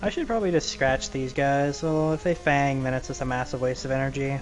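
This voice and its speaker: Over background music, a man speaks very fast with a fairly high pitch and fairly even intonation. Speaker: let's play gamer. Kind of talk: gameplay commentary. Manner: monotone.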